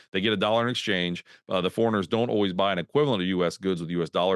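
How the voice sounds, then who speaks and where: The tone is animated. Pitch varies in an ordinary way. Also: man. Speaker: market strategist. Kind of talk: presentation. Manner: fast.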